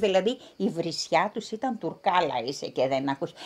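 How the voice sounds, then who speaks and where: The voice belongs to a woman. She speaks at a fairly slow pace. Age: 60s. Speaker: descendant of refugees. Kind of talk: interview testimony.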